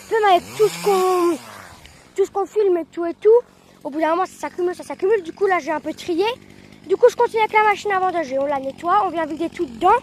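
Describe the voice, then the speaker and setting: Very fast yet broken by long, frequent pauses, a woman speaks at an extremely high pitch with ordinary pitch variation. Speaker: farmer and video creator. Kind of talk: casual vlog narration. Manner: halting, many fillers; loud.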